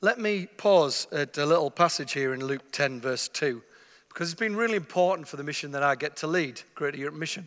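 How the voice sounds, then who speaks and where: Here a man speaks with an English accent and ordinary pitch variation. His tone is bright and sharp. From northeast England. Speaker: mission agency leader, visiting preacher. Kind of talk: sermon. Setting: church stage with masked audience.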